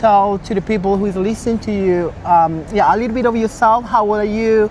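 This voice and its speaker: Someone speaks with a Spanish accent at a fairly quick pace. Noticeable background noise runs behind. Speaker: interviewer. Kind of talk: interview. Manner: halting.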